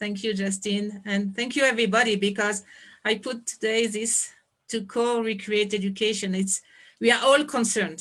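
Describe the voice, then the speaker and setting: Speaking at a moderate pace with a French accent, a woman uses a fairly high pitch and fairly even intonation against a quiet background. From France. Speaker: anthropologist and education founder. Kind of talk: presentation on video call. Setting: video call.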